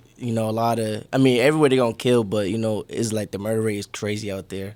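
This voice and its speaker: A man with a New York accent talks at a very fast pace. His medium-pitched voice holds a fairly even intonation. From New York City, Brooklyn. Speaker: rapper. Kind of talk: casual interview.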